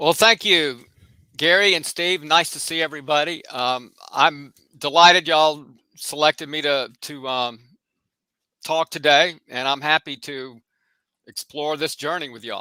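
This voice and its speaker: With an American accent and a fairly high pitch, a man speaks in a bright, sharp tone with long, frequent pauses, the sound dry and close with no echo on a very clean recording against a silent background. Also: ordinary pitch variation, fairly slow pace, big swings in loudness. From US South, Atlanta, Georgia. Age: 60s. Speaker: social work professor. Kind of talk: interview.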